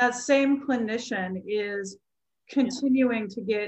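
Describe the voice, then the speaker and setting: A somewhat breathy woman speaks at a very slow pace with a fairly high pitch. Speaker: podcast host and music educator. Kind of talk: casual conversation.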